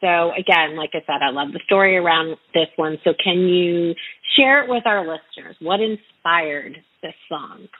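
Using an ordinary speaking voice, a woman with an American accent talks at a moderate pace, her fairly low pitch showing ordinary variation. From North Carolina. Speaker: radio host and singer-songwriter. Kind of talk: interview.

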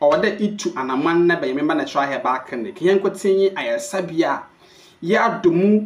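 A man's high-pitched voice at a moderate pace, with ordinary pitch variation

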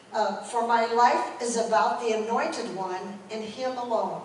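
A woman speaks with a fairly high pitch and ordinary pitch variation. The room has audible echo and light background noise. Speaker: pastor. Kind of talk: sermon. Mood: solemn, calm. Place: church. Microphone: camera far.

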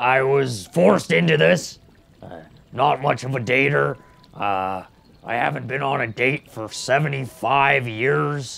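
The pace is very slow. A man performs a put-on character voice at medium pitch. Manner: shy, reluctant.

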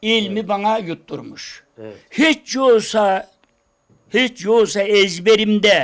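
On a very clean recording with a silent background, a man talks at a very slow pace in a high voice. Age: 80s+. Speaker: folk minstrel poet. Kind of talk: interview answer.

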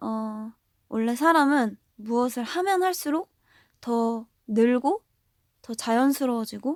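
A woman's high voice has a gentle tone and lively intonation, with a dry, close sound and no echo. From South Korea, Gwangju. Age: 20s. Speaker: idol singer. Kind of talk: fan livestream chat. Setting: audio livestream. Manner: soft, gentle.

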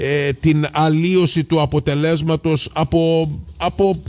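This man's voice sits at a high pitch. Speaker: radio host. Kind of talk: radio interview.

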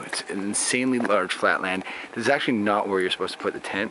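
A man speaks at a fairly quick pace in a fairly low pitch. The sound is dry with no echo, and background noise is noticeable. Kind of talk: casual vlog tour narration. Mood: cheerful, joking. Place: open country. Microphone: phone near.

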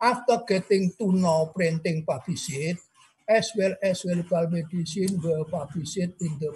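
The speaker has an Indonesian accent and ordinary pitch variation. The background is quiet. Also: man. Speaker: emeritus professor. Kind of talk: lecture. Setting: video call. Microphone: webcam.

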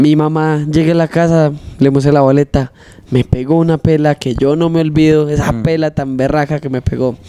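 Speaking at a moderate pace, a man uses a fairly high pitch and a monotone, flat intonation. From Marinilla, Antioquia, Colombia; Antioquia, Colombia. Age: 20s. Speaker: trova singer and freestyle rapper; guest. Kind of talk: casual interview; improvised rhymed verse. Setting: studio. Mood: humorous storytelling. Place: studio. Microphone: handheld.

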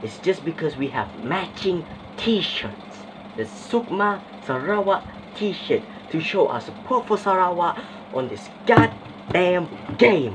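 Long, frequent pauses break up very slow speech set against noticeable background noise. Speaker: skit performer playing gamers. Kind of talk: comedic skit, acted gaming banter. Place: home room. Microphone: phone near.

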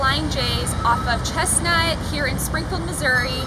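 A woman talks over loud background noise. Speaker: presenter. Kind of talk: tutorial. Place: street. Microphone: lapel.

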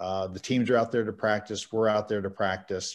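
With an American accent and an ordinary speaking voice, a man of fairly low pitch keeps his intonation fairly even. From Kentucky. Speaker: umpire assigner and trainer; trainer. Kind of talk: training clinic presentation. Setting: video call. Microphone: video call.

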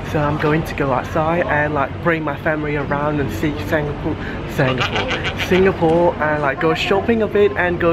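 Noticeable background noise behind a man talking at a moderate pace. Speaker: travel vlogger. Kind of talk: casual vlog chat. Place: station. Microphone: phone near.

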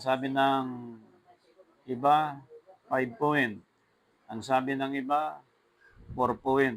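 Speaking very slowly, a man leaves long, frequent pauses while his loudness swings widely. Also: medium pitch for a man, fairly even intonation. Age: 50s. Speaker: preacher. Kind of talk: sermon.

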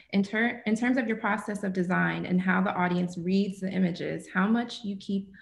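A somewhat breathy woman speaks at a medium pitch with fairly even intonation, and room echo is audible. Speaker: event moderator. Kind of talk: formal introduction and Q&A moderation. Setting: video call. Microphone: webcam.

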